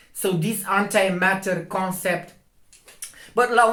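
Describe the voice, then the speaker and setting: A man with a non-native accent, bright, sharp tone and moderate pace, with audible room echo. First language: not English. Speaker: astronomy video maker. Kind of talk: video commentary. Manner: halting.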